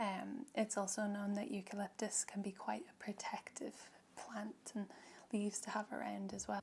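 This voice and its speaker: A soft-spoken woman with an Irish accent, a gentle tone, vocal fry and fairly even intonation. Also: medium pitch for a woman. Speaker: reiki practitioner. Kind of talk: guided ASMR reiki session. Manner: slow, gentle.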